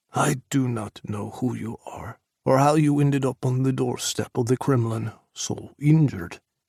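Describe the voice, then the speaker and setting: Using a put-on character voice, a man speaks at a moderate pace with medium pitch and ordinary pitch variation. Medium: read story. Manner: formal, no contractions.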